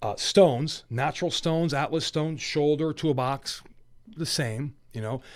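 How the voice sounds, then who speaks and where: Very clean recording, silent background, with a man speaking in a plain, everyday voice at a fairly high pitch. His pitch variation is ordinary and his pace moderate. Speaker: strongman athlete. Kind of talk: casual chat. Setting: studio.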